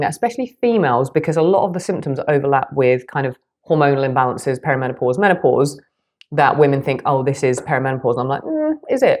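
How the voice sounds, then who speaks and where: Someone with a British accent talks at a very fast pace with lively intonation. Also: woman. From Britain. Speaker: nutritionist and health coach. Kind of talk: podcast explainer; casual chat.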